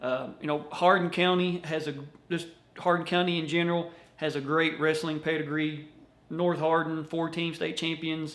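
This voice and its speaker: With a Kentucky accent, a man talks at a moderate pace in a fairly high pitch and monotone, flat intonation, with audible room echo. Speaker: wrestling video host. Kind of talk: casual interview.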